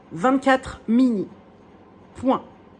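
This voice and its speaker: A woman is speaking. Her pace is very slow. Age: 30s. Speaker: wool dyer and craft vlogger. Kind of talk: casual vlog chat. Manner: hesitant, many fillers.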